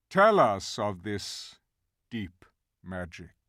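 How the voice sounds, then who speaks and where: A man's put-on character voice, growling and fairly low in pitch. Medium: read story. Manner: grave, measured.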